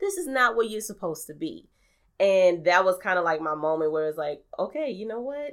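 A woman speaks at a medium pitch with an American accent. Her pitch swings are very wide. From New Orleans, US South. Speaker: podcaster and radio personality. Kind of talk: casual conversational interview.

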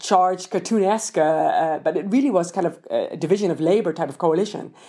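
Speaking very fast in a Dutch accent, a woman at medium pitch has a dark, mellow tone and ordinary pitch variation, on a very clean recording with a silent background. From Netherlands. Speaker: political science professor. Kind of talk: interview. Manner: halting, frequent repetitions.

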